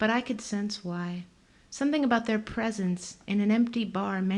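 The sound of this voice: This is an unforced reading voice. Its pitch variation is ordinary.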